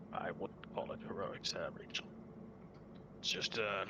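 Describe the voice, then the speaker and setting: A man puts on a character voice while loud background noise fills the clip. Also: moderate pace. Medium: actual play.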